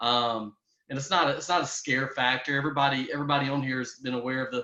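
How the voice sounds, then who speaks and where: A man with a strong Southern US accent talks at a very fast pace in a medium pitch, his intonation fairly even. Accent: strong Southern country. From US South, Louisiana. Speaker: network marketing entrepreneur. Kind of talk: business opportunity pitch. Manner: hesitant, many fillers and repetitions.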